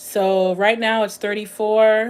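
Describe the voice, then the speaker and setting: A woman speaks with monotone, flat intonation. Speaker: live streamer. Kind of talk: casual chat.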